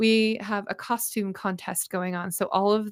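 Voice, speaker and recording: A woman speaks at a moderate pace, her medium-pitched voice keeping a fairly even intonation. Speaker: ad agency owner and livestream host. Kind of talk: casual livestream update. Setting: livestream. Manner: loud; casual, filler-heavy.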